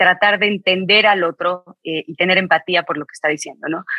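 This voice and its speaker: The sound is dry and close with no echo as a woman talks in a bright, sharp tone. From Mexico. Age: 40s. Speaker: author and business executive. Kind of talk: interview.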